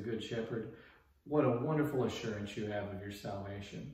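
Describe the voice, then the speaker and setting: Audible room echo surrounds a man who talks at a fairly quick pace with ordinary pitch variation. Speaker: pastor giving a daily devotional. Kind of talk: short devotional sermon. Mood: earnest, encouraging. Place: home room.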